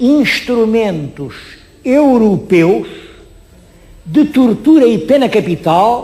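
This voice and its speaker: Over noticeable background noise, a man speaks at a very slow pace. His pitch is high and his intonation lively. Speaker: historian and TV presenter. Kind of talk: TV history presentation. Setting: on location at an exhibition. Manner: expressive, emphatic.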